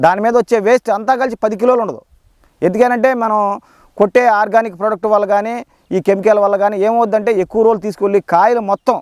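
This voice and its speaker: A man's high-pitched voice with fairly even intonation and a dry, close sound with no echo. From Krishna district, Andhra Pradesh. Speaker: farmer. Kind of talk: field demonstration. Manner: halting.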